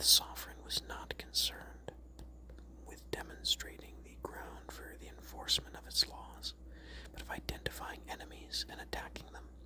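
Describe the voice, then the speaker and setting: The speaker whispers in a soft-spoken way at a moderate pace. There is noticeable background noise. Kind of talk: whispered ASMR reading of a Wikipedia article. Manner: whispered, soft-spoken.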